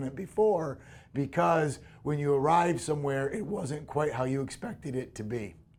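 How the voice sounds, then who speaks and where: A man's fairly high voice comes out somewhat breathy, with ordinary pitch variation. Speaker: university lecturer. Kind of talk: recorded academic lecture.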